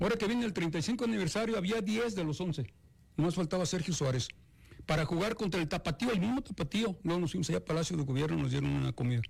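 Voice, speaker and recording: Very fast and with very even loudness, a man talks at a high pitch using lively intonation. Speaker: retired football coach. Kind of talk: interview. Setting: studio.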